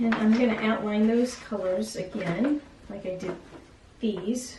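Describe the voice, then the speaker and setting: Speech moves at a fairly slow pace with ordinary pitch variation, carrying audible room echo and noticeable background noise. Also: woman, fairly high pitch for a woman. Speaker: art teacher. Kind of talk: tutorial. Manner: animated.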